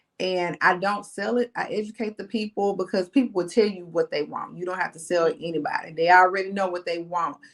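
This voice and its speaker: Spoken with a Southern US accent, the delivery is moderately paced and fairly even in intonation. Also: woman. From Mississippi, US South. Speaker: insurance agent and business consultant. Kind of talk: interview.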